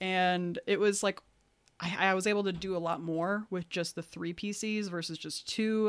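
A woman at a moderate pace, medium in pitch with fairly even intonation, on a very clean recording with a silent background. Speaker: podcast host. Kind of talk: casual chat. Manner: quiet.

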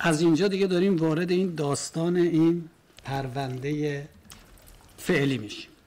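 A man's fairly high voice at a moderate pace, broken by long, frequent pauses, over noticeable background noise. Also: ordinary pitch variation. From Iran. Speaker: defendant. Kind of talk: court testimony. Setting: courtroom.

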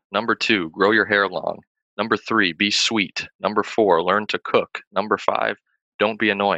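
A bright, sharp voice speaks at a fairly slow pace in a flat monotone, recorded dry and close with no echo against a quiet background. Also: man, fairly low pitch for a man. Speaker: podcast host. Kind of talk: casual interview.

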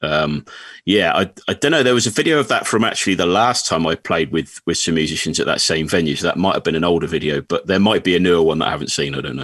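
A speaker with an English accent talks very fast with lively intonation and hardly any pauses. The background is quiet. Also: man, very deep, low pitch for a man. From England. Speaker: country singer-songwriter. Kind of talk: casual chat.

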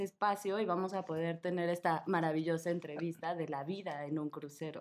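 Pitch varies in an ordinary way throughout this fairly quick delivery. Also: woman. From Mexico. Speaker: podcast host. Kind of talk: casual chat. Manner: animated.

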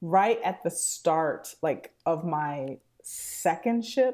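The voice has a dark, mellow tone and lively intonation at a very slow pace. The recording is very clean, with a silent background. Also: woman. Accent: American. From Texas (Houston). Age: 40s. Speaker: improv theater director. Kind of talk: casual chat. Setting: studio.

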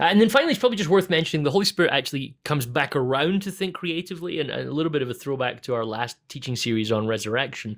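With a Scottish accent, a man talks very fast in a fairly high pitch, his intonation lively and his speech hardly broken by pauses. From Scotland. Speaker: pastor. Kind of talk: casual chat.

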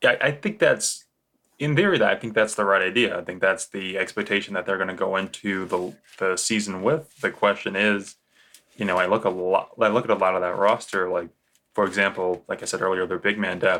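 Fairly low in pitch, this man has a bright, sharp tone. He talks fairly quickly with fairly even intonation. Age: 20s. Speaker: basketball podcast host. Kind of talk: casual chat.

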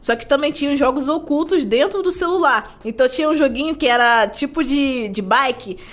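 Lively in intonation, a woman with a high pitch speaks at a moderate pace. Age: 20s. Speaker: tech content creator and product analyst. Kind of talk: casual chat.

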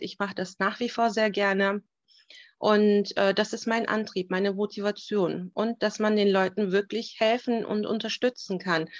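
A woman's fairly high voice at a moderate pace, fairly even in intonation, dry and close with no echo, against a quiet background. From Germany, Turkish roots. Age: 30s. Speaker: family support worker. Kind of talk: interview. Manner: hesitant, many fillers.

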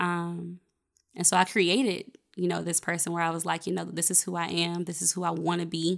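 Flat, monotone delivery at a fairly quick clip, with vocal fry. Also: woman, fairly low pitch for a woman. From Nashville, Tennessee. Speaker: educator and natural hair blogger. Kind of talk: casual chat.

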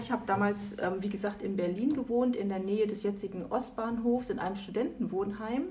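There is audible room echo as a woman with a fairly high pitch talks at a moderate pace, her intonation fairly even. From East Germany. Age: 50s. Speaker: lawyer. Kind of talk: interview. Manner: hesitant, many fillers.

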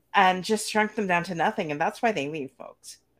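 On a very clean recording with a silent background, a woman with an ordinary speaking voice talks at a medium pitch with ordinary pitch variation. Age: 40s. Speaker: podcast host. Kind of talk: interview.

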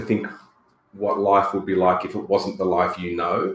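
The speaker is a man with an Australian accent. Room echo is audible. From Australia, rural New South Wales. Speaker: radio presenter and political candidate. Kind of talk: interview.

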